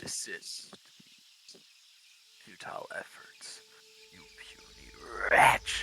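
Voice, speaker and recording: An extremely high-pitched, put-on character voice, very slow and full of long, frequent pauses, over clear background noise. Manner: commanding, contemptuous.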